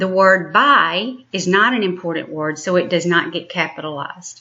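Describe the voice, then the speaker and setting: A woman's medium-pitched voice, an ordinary speaking voice. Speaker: elementary school teacher. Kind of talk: recorded lesson. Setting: home recording.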